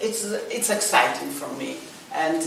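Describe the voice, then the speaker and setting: A woman with a Polish accent speaks with fairly even intonation, amid audible room echo and noticeable background noise. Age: 60s. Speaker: actress. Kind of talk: interview. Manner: halting.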